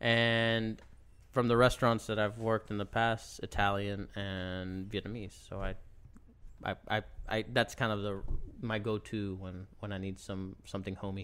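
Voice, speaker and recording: Speaking at a moderate pace, a man with a fairly low pitch keeps his intonation flat and monotone. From Puerto Rico. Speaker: chef. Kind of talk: casual chat.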